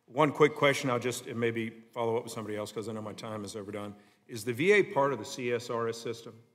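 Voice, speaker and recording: The speaker has a Southern US accent and a very fast pace. Pitch variation is ordinary, with big swings in loudness. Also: man, medium pitch for a man. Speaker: congressman. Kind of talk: congressional hearing questioning.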